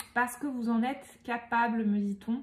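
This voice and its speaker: Pitched fairly high, a woman speaks very slowly in a monotone, flat intonation. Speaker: medium giving tarot card readings. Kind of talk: tarot reading guidance.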